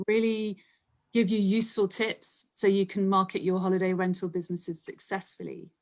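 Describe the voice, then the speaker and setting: A woman speaks at a moderate pace and a medium pitch. Her intonation stays fairly even. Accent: London. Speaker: marketing group co-founder and copywriter. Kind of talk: interview.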